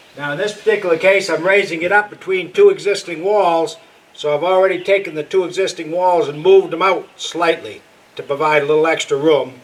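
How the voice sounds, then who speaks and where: A man's high-pitched voice with fairly even intonation and a fairly quick pace, noticeable background noise behind him. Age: 70s. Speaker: DIY cabin builder. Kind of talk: casual tutorial narration. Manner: casual, halting with fillers.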